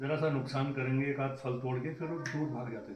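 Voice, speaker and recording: The speaker talks at a moderate pace with fairly even intonation. There is noticeable background noise. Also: man. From Uttarakhand, Kumaon (Ranikhet area). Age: 70s. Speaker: temple committee head. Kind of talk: storytelling on temple history.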